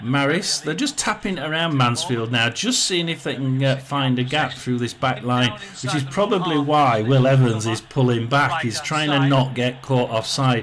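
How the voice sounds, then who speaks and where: With a Yorkshire accent, a man talks at a moderate pace and medium pitch, with ordinary pitch variation and noticeable background noise behind him. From northern England, South Yorkshire (Rotherham). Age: 60s. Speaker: football watchalong streamer. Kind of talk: casual live commentary. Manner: halting, many fillers.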